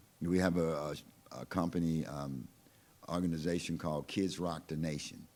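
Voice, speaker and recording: At a moderate pace, a man with a very deep, low voice speaks in a monotone, flat intonation. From Louisiana, West Baton Rouge Parish. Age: 60s. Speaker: blues musician. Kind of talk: interview conversation. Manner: relaxed, casual.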